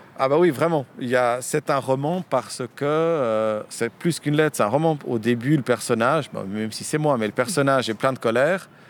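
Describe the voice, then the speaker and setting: The man's pitch is medium, with ordinary variation. He talks at a moderate pace. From French-speaking Switzerland (Lausanne), born in Romania. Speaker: novelist. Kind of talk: interview. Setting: outdoors, street in Lausanne.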